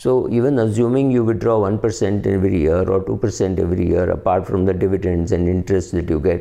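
A man talks at a fairly quick pace, his pitch very deep and low with ordinary variation. His tone is dark and mellow, and the background is quiet. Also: hardly any pauses, very even loudness. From India. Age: 50s. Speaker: personal finance commentator; finance commentator. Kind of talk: solo talk to camera. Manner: hesitant, many fillers. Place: home room. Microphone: phone near.

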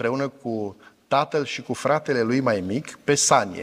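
Here a man is talking. The rise and fall of his pitch is ordinary. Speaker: pastor. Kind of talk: sermon. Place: church. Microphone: lapel.

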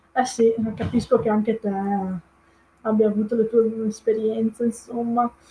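Somewhat breathy, a woman speaks with a Venetian accent in a dark, mellow tone. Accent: mild Venetian-accented Italian. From Italy, Veneto (Padova province). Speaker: Italian language teacher. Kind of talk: live-stream talk. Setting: live online video stream. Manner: hesitant, many fillers. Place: home room. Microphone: webcam.

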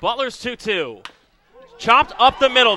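A man with an extremely high pitch speaks in a raised, projected voice. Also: dry, close sound with no echo. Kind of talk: live commentary. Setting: ballpark broadcast. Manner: animated, excitable home-run calls.

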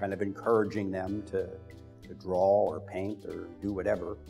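A man speaks in a fairly low voice with fairly even intonation. Faint music plays in the background. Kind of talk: interview answer. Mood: warm, reflective. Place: studio. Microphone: lapel.

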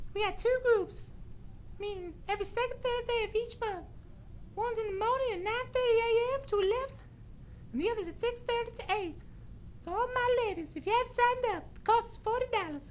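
Clear background noise sits behind a female-sounding put-on character voice, pitched extremely high for a woman and delivered at a fairly quick pace.

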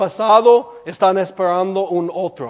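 With an English accent, a man speaks fairly slowly at a high pitch. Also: quiet background. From United States. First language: English (speaking Spanish). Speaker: preacher. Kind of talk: sermon. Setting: church. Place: church.

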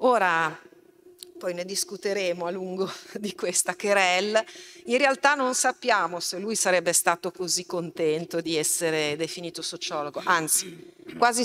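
A woman with a plain, everyday voice and a medium pitch speaks at a fairly slow pace over light background noise. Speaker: event moderator and university lecturer. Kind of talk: public talk moderation. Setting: stage with live audience, streamed. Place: hall. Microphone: podium.

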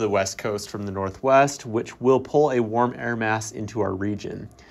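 A plain, everyday voice: a man at medium pitch, moderate pace and ordinary pitch variation, over a quiet background. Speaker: weather forecaster. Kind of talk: scripted radio weather report with playful, colorful phrasing. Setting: radio studio. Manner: brisk, upbeat delivery with wry asides; clear, measured reading of numbers and regions.

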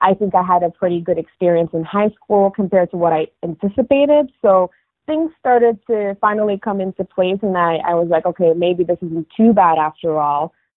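With a fairly low pitch and fairly even intonation, a woman talks at a moderate pace in a dry, close sound with no echo.

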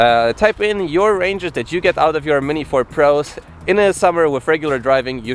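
Light background noise sits behind a man whose dry, echo-free voice shows ordinary pitch variation. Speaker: scooter reviewer. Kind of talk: product review vlog. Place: waterside. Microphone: phone near.

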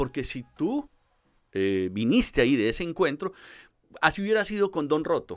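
Over a quiet background, the speech moves at a moderate pace. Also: man. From Colombia, Medellín. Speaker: psychologist; guest. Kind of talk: interview. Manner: hesitant with fillers. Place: studio. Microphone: studio mic.

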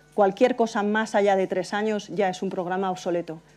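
Her intonation stays fairly even. The woman talks at a moderate pace. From Spain, Valencia. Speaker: transport consultant. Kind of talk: conference talk. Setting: stage with audience. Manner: hesitant, frequent fillers. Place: hall.

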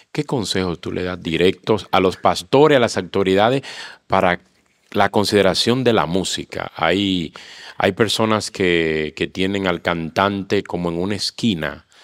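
Against a quiet background, a man talks at a fairly slow pace with a very deep, low pitch and ordinary pitch variation. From Dominican Republic. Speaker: pastor and interviewer; pastor, interviewer. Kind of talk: interview hosting. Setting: church association facility. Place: hall. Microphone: handheld.

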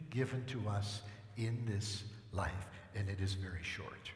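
A man talks at a slow pace. Faint background noise can be heard.

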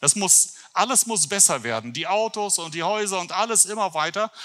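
A man with a high pitch and a bright, sharp tone talks at a moderate pace with lively intonation.

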